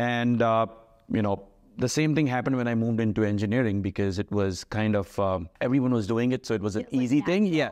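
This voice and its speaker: Over a quiet background, a man talks at a very fast pace with ordinary pitch variation and very even loudness. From Lagos, Nigeria (Indian family). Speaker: gym owner and fitness coach. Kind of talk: interview. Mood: relaxed, reflective. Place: meeting room.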